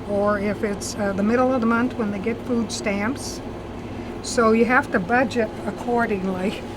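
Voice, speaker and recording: A woman talks at a moderate pace in a fairly high voice with fairly even intonation. Audible room echo and noticeable background noise are present. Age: 70s. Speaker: convenience store owner. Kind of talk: interview.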